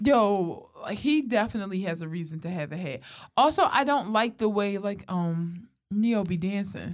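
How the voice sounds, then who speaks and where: Animated in tone, a woman speaks at a moderate pace and medium pitch with lively intonation. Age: 20s. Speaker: podcast co-host. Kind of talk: casual chat.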